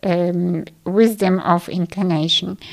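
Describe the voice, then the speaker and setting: This woman's intonation stays fairly even. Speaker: podcast host and meditation guide. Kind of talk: guided meditation. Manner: slow, soft, calm and soothing with long pauses; gentle, inviting, addressing listener intimately.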